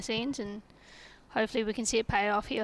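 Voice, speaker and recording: Speaking very fast with an Australian accent, a woman uses a fairly high pitch and a flat, monotone intonation. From Australia, Perth. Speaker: local cricketer, guest commentator. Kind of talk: live commentary.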